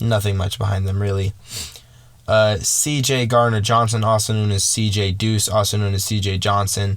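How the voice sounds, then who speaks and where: The delivery is monotone, with flat intonation. There is audible echo from the room. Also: man, fairly low pitch for a man. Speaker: sports podcaster. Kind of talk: casual solo podcast commentary. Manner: fast.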